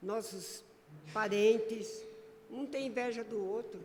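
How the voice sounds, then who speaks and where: A woman with a fairly high voice speaks very slowly amid noticeable background noise and audible room echo. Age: 80s+. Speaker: lay preacher. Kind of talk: sermon.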